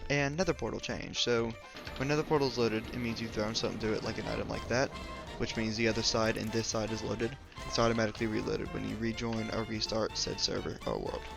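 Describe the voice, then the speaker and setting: The speech comes at a very fast pace with fairly even intonation. Music plays in the background. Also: man, medium pitch for a man. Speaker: gaming video creator. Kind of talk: casual gameplay commentary. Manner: casual, hesitant with fillers.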